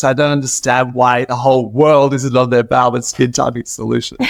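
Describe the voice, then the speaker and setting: Fairly quick, fairly evenly intoned speech with an Australian accent. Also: man. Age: 60s. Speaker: cosmetic chemist. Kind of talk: interview.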